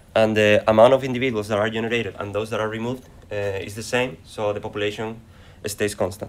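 Speaking at a very fast pace, a man with a Spanish accent holds a fairly low pitch in a monotone, flat intonation. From Spain. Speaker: acoustics researcher. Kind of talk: conference presentation. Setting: conference session.

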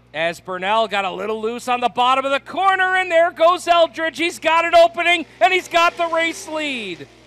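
With hardly any pauses, a man uses a raised, projected voice that is extremely high in pitch, with lively intonation and a bright, sharp tone. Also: moderate pace. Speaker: race announcer. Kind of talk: live race commentary. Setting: racetrack, announcer booth. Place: stadium.

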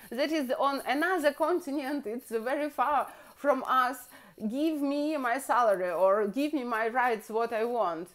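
Speaking at a fairly slow pace, a woman uses a high pitch and lively intonation. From Russia. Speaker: video blogger. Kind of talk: monologue to camera, political commentary, comedic. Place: kitchen. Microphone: phone near.

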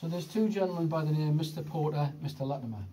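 A man's somewhat breathy, dark and mellow voice at a fairly quick pace, with lively intonation and light background noise. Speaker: tour guide. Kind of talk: guided tour narration. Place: tunnel cave. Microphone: phone near.

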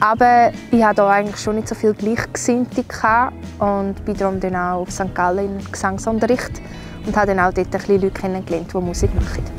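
Clear music plays behind a woman with an Appenzell accent who speaks at a fairly quick pace with fairly even intonation, in a dry sound with no echo. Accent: Swiss German, Appenzell dialect. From Appenzell, Switzerland. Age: 20s. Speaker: singer. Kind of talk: casual talk to camera. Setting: outdoors. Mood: relaxed, cheerful. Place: open country. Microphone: lapel.

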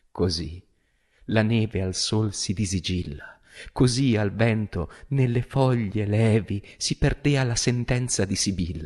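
A very slow, somewhat breathy man's voice, fairly low in pitch with ordinary pitch variation, over a quiet background. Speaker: stage actor and director. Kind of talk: poetry reading. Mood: solemn, emotive. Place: studio. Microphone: studio mic.

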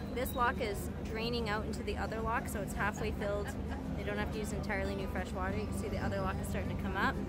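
Loud music in the background behind a woman at a very fast pace, dry sound with no echo. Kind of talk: commentary. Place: street. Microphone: phone near.

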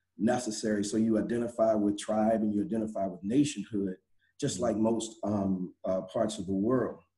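A quiet background and a man's dark, mellow tone, moderate in pace and fairly even in intonation. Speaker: nonprofit community leader; panelist. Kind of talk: panel discussion. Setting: video call. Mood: earnest, reflective. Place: office. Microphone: video call.

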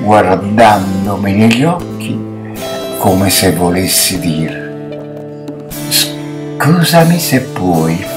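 Noticeable background noise sits behind a man whose pitch swings very widely. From Naples, Italy. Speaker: amateur actor. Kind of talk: poetry reading. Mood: tender, emotional. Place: home room. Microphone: webcam.

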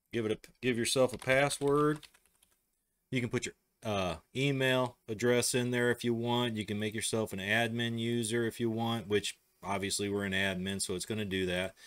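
With a Midwestern US accent, a man talks at a moderate pace in a fairly even intonation. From US Midwest. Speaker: tech tutorial host. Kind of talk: tutorial. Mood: relaxed, casual.

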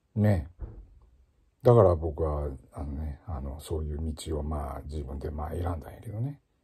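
A man speaks fairly slowly with a very deep, low pitch and a somewhat breathy, dark, mellow tone. His tone is relaxed, and the background is quiet. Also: long, frequent pauses, big swings in loudness. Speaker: ocarina player and former music teacher; former music teacher. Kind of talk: casual spoken blog monologue. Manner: relaxed, conversational with many fillers. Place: home room. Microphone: phone near.

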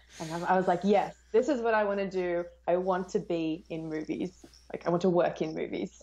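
A woman's dark, mellow tone in an Australian accent, with ordinary pitch variation at a moderate pace. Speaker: film YouTuber. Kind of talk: casual chat. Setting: video call. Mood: cheerful, friendly. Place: home room. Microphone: earbuds.

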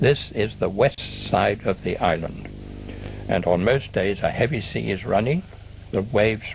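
Music plays behind a man with a fairly low pitch. He moves at a fairly slow pace with ordinary pitch variation. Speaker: documentary narrator and former bird observatory warden. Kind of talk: nature documentary voice-over narration of old film. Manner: measured, explanatory, unhurried with occasional hesitant 'uh' fillers; guiding, conversational, like a friendly tour guide. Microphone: old recording.

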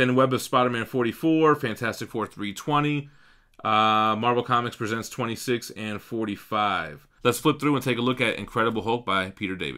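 The man's tone is bright and sharp, with ordinary pitch variation. He speaks at a moderate pace over a quiet background. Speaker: comic collector host. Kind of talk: casual vlog chat. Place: home room. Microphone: studio mic.

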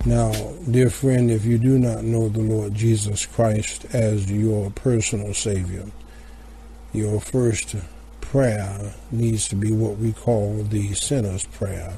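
Against noticeable background noise, a man talks very slowly in a monotone, flat intonation. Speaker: broadcast announcer. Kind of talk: scripted announcement and gospel invitation. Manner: formal.

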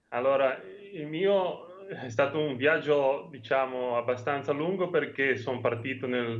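A man's fairly slow delivery with ordinary pitch variation over light background noise. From Genoa, Liguria. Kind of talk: interview answer. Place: home room. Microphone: video call.

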